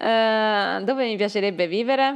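This speaker talks with ordinary pitch variation and a slight southern Italian accent. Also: woman. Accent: weak southern Italian. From southern Italy (Campania/Molise). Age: young. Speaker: Italian language teacher. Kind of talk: casual chat.

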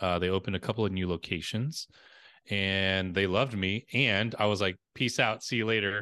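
Moderately paced male speech with an American accent, fairly low and bright, sharp in tone, very even in loudness, fairly even in intonation, against a quiet background. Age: 40s. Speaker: marketing consultant. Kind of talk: interview.

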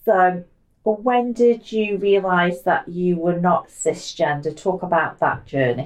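At a medium pitch, a woman speaks fairly slowly with very even loudness and ordinary pitch variation. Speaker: podcast host. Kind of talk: scripted narration; casual chat. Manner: animated.

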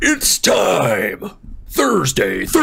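Booming and put on, this is a man's character voice. Light background noise is present. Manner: hyped announcing.

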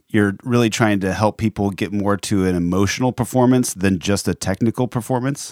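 Here is a man with a plain, everyday voice, pitched fairly low with ordinary variation. The sound is dry and close, with no echo. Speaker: radio host. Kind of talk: casual chat. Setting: studio.

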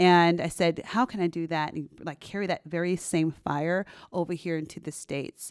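With a plain, everyday voice, a woman speaks at a fairly low pitch and moderate pace, her intonation fairly even, on a very clean recording with a silent background. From US West Coast, San Francisco Bay Area. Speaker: realtor. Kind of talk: casual interview.

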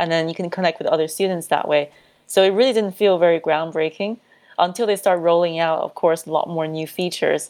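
Using a plain, everyday voice, a woman talks at a fairly quick pace with a fairly low pitch and fairly even intonation. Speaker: digital marketing consultant. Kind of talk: interview conversation.

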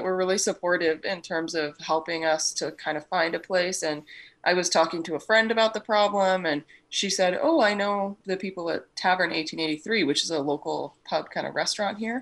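Set in a very clean recording with a silent background, a woman with a normal speaking voice talks at a moderate pace in a medium pitch. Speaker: donut business owner. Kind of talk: casual interview.

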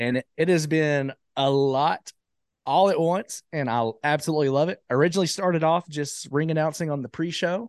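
The sound is dry and close, with no echo, over a quiet background. The delivery moves at a moderate pace with ordinary pitch variation. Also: man, fairly high pitch for a man. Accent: Alabama. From Alabama, US South. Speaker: wrestling ring announcer. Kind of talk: casual interview chat.

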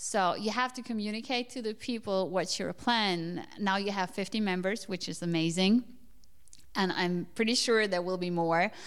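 A woman speaks with a German accent at a medium pitch. The recording is very clean, with a silent background. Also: ordinary pitch variation, moderate pace. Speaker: podcast host. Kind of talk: interview. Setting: in person in Berlin.

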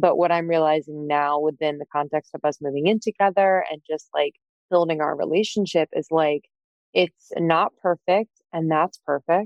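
Speaking with an American accent, a woman uses a plain, everyday voice, fairly low in pitch, at a moderate pace with fairly even intonation. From Pennsylvania, north of Philadelphia. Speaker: entrepreneur and podcast co-host. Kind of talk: casual interview.

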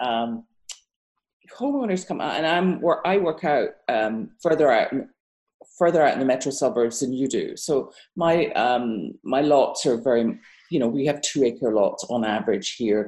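A woman with a British accent speaks at a moderate pace in a very deep, low voice, her tone dark and mellow and her intonation lively. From Britain. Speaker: architect. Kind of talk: casual interview conversation.

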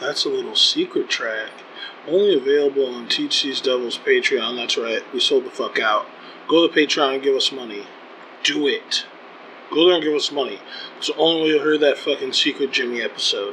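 A man talks at a fairly quick pace in an animated tone. Noticeable background noise runs behind him. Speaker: comedy podcast host. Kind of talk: casual banter, comedic. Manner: animated, profane.

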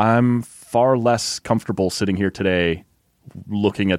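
A man with a Canadian accent. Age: 30s. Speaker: sports podcast host. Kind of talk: casual sports chat.

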